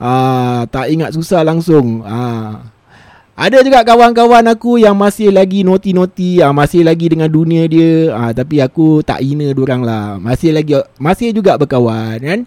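A dark, mellow voice moves at a fairly slow pace with very wide pitch swings. The sound is dry and close, with no echo. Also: man, fairly high pitch for a man. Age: middle-aged. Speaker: podcast host and DJ. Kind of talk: casual solo storytelling.

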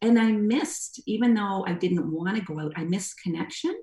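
The woman's voice is somewhat breathy. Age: old. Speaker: former first responder and singing student. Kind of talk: interview.

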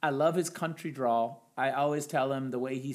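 This man has a plain, everyday voice. His pitch is fairly high. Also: very clean recording, silent background. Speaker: high school English teacher. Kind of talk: casual conversation. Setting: home podcast recording with mic.

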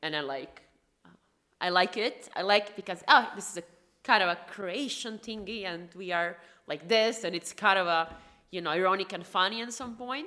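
A medium-pitched woman with a Croatian accent, bright and sharp in tone, at a moderate pace with big swings in loudness. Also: ordinary pitch variation. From Croatia, Rijeka. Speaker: founder of an integration company. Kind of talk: podcast interview.

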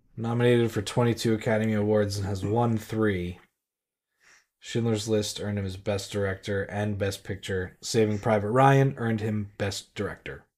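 Fairly even intonation marks a normal speaking voice moving at a moderate pace. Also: man, fairly low pitch for a man. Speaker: podcast co-host. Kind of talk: casual chat.

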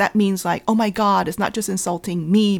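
A normal speaking voice with an American accent at a fairly quick pace, on a very clean recording with a silent background. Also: woman. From US, Vietnamese American family. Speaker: cookbook author. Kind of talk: casual chat.

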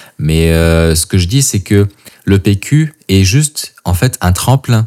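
Lively intonation comes through a dry, close sound without echo. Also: man. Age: 30s. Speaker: coach and podcast host. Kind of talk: solo podcast monologue. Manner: casual, with hesitations.

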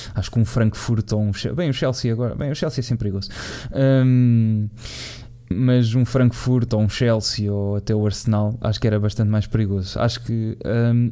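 The speaker has a European Portuguese accent and talks at a moderate pace. Intonation stays fairly even, with noticeable background noise. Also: man, medium pitch for a man. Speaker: football podcast host. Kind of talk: casual chat.

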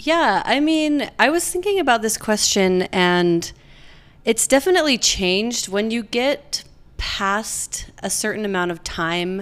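The recording is very clean with a silent background. A woman with an American accent talks at a fairly slow pace with lively intonation. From Utah, US (Provo). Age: 30s. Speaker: podcast guest. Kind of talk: casual chat.

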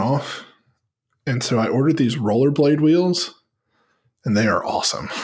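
Using a normal speaking voice, a man talks at a medium pitch and a moderate pace with lively intonation. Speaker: podcast co-host. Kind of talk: casual chat.

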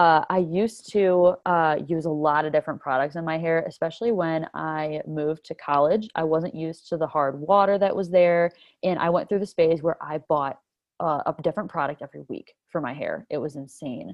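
Here a woman talks at a moderate pace in a fairly low pitch. Hers is an ordinary speaking voice with ordinary pitch variation. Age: 20s. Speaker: sustainability influencer. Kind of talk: casual chat.

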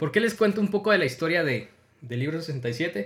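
In a very clean recording with a silent background, a high-pitched man talks at a moderate pace, his pitch swinging very widely. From Guatemala. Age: 30s. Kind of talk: devotional monologue.

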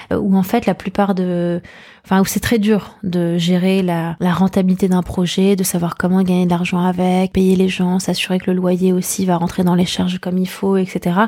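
The voice is dark and mellow, delivered at a moderate pace with monotone, flat intonation. The recording is very clean, with a silent background. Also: woman, medium pitch for a woman. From Paris, France. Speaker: painter and entrepreneur. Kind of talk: interview conversation. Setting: art gallery. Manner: halting with frequent fillers.

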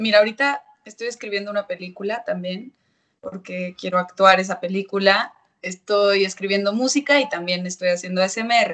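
In a normal speaking voice, a woman talks at a medium pitch and moderate pace with ordinary pitch variation. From Mexico, Monterrey. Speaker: actress and singer. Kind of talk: casual interview. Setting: video call.

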